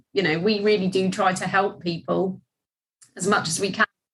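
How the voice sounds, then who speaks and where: A woman with a Norfolk accent speaks at medium pitch with vocal fry and ordinary pitch variation. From England, Norfolk. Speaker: debt recovery business owner. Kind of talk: casual interview.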